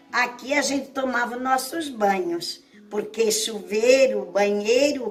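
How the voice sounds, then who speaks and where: Noticeable background noise sits behind this recording. A woman speaks at a very slow pace with a high pitch. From Navegantes, Santa Catarina, Brazil. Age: 70s. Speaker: local resident. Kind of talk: oral history testimony.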